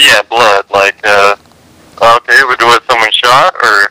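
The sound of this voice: A man's bright, sharp tone at a fairly slow pace, in a dry, close sound with no echo. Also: medium pitch for a man, ordinary pitch variation.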